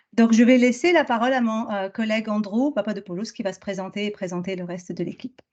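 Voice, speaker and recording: Words pour out at a very fast pace with hardly any pauses, big swings in loudness and ordinary pitch variation. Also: woman, fairly high pitch for a woman. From France. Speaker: business school professor. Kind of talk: academic presentation. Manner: halting, many fillers.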